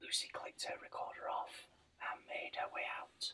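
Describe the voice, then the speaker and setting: Whispering at a fairly slow pace, a man speaks in a gentle tone. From Britain. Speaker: ASMR channel host. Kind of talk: sleep-inducing book reading. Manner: whispered, gentle.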